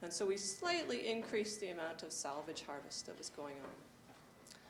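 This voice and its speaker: A soft-spoken woman talks at a moderate pace with lively intonation and a medium pitch, over noticeable background noise. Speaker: forest carbon researcher. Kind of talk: conference presentation. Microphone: handheld mic, held higher after being told too quiet.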